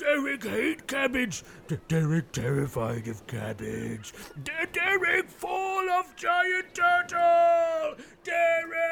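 A man puts on a character voice at an extremely high pitch. He goes very slowly over clear background noise. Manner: boastful, broken caveman grammar.

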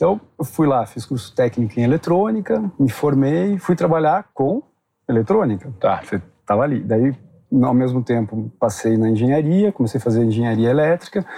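Speaking at a moderate pace, a man uses a medium pitch with very wide pitch swings and a dark, mellow tone. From Brazil, Curitiba. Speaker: tech company executive. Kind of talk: interview. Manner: halting, many fillers.

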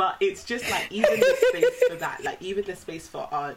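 There is noticeable background noise in this clip. A woman talks at a moderate pace. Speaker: podcast host. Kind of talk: casual chat.

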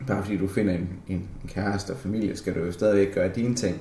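Through audible room echo, a man with a fairly low pitch speaks at a moderate pace with fairly even intonation. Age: 20s. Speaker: office worker. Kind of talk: personal reflection interview. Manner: halting, many fillers.

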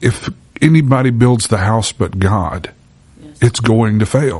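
With a Southern US accent, a man with a fairly low voice speaks in an animated tone. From Louisiana. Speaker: podcast host and church minister. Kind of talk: faith-based interview. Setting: church. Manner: animated, preachy.

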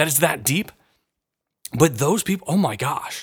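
Recorded very cleanly against a silent background, a man with a plain, everyday voice talks at a moderate pace with lively intonation, the sound dry and close with no echo. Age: 30s. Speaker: podcast host and counselor. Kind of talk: Bible teaching podcast. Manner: casual, conversational with fillers.

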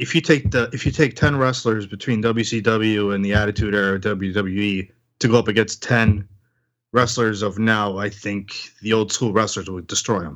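This man has an unremarkable speaking voice, pitched fairly low, with fairly even intonation. He goes at a moderate pace against a quiet background. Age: 40s. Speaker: podcast host and guest. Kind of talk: casual chat.

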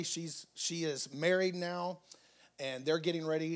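A man talks in a Southern US accent. His pitch is fairly high for a man. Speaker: guest preacher. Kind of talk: sermon. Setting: church.

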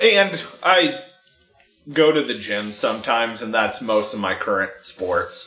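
Music plays in the background as a man with an American accent speaks. His medium pitch moves in very wide swings at a fairly slow pace. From San Francisco, US. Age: 20s. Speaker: podcast guest. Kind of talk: casual chat.

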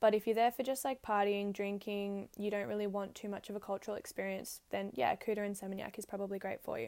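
Talking at a very fast pace with hardly any pauses, a woman with an Australian accent keeps to a medium pitch. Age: 20s. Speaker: podcast host. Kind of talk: casual monologue. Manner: animated.

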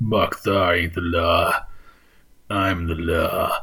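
At a very slow pace, a man speaks in a put-on character voice. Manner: authoritative, proclaiming.

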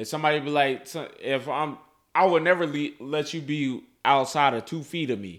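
On a very clean recording with a silent background, a man with a fairly high pitch speaks at a moderate pace, showing ordinary pitch variation and big swings in loudness. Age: 20s. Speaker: podcast co-host. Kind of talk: casual chat.

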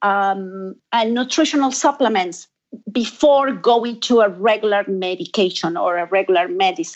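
The intonation here is lively. The pace is moderate. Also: woman. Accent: Argentine. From Argentina. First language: Spanish. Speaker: fabric company owner and designer. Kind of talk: interview. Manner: halting.

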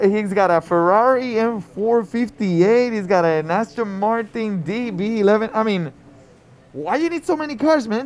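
At a fairly slow pace, a man with a Spanish accent speaks in a high pitch. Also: lively intonation. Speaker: fantasy football podcast co-host. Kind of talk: casual sports chat. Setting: live recording at a liquor store event.

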